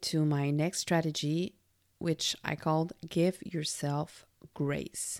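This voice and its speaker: In a very clean recording with a silent background, a woman with a French Canadian accent talks at a fairly low pitch. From Quebec. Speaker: podcast host, employee engagement consultant. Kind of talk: solo self-help monologue.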